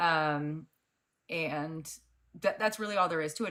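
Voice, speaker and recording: In a very clean recording with a silent background, a woman's voice comes through bright and sharp. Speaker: debate panelist. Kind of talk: debate.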